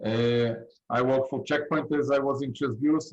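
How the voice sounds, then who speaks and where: A man with an Israeli accent. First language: Hebrew. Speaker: cybersecurity industry expert. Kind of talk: panel discussion. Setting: video call.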